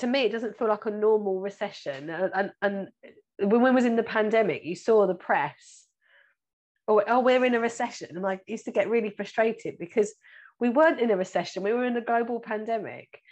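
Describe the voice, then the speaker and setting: Against a quiet background, a woman with a British accent speaks at a moderate pace in a fairly high pitch with ordinary pitch variation. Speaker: financial planner and podcast host. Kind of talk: casual interview.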